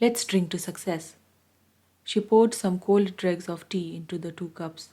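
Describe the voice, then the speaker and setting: A woman's somewhat breathy, dark and mellow voice at medium pitch, with ordinary pitch variation, a calm, soothing tone, moderate pace and long, frequent pauses. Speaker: audiobook reader. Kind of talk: read story.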